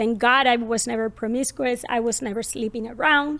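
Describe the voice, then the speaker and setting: High-pitched and fairly even in intonation, a woman speaks with a Colombian accent. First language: Spanish. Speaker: parenting podcast host. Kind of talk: personal story in podcast conversation.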